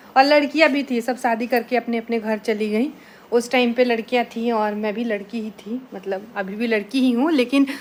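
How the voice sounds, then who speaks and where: A woman with a normal speaking voice and a fairly high pitch talks at a moderate pace with fairly even intonation and hardly any pauses. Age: 20s. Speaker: village vlogger, housewife. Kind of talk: casual vlog talk to camera. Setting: at home at night.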